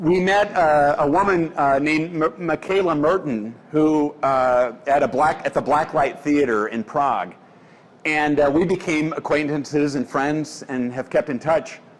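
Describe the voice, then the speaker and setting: A man's fairly high-pitched voice, fairly slow, with ordinary pitch variation. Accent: American. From Omaha, Nebraska (US Midwest). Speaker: editorial cartoonist. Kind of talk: public talk. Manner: loud; halting, many fillers.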